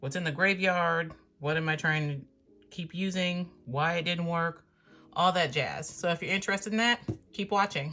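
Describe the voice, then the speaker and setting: On a very clean recording with a silent background, a woman talks at a moderate pace in a bright, sharp tone with ordinary pitch variation. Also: fairly low pitch for a woman. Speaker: planner and journaling YouTuber. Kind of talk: casual video review. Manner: rambling, filler-heavy.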